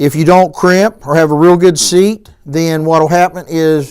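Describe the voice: Speaking at a fairly slow pace, a man with a fairly high pitch and a clear, smooth tone keeps his intonation fairly even.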